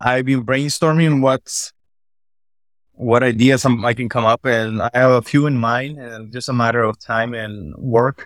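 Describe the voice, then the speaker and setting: A plain, everyday voice from a man, fairly even in intonation, with a dry, close sound, no echo, and a very clean recording with a silent background. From Latin America, immigrant to US. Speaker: landscaping business owner. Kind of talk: interview, coaching conversation.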